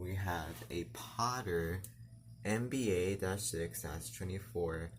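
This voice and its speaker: Very deep and low, a man's voice shows vocal fry and lively intonation at a very slow pace. He leaves long, frequent pauses, and the room echo is audible. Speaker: fire alarm hobbyist video creator. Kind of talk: casual demonstration tutorial. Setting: home bedroom with loud fire alarm devices.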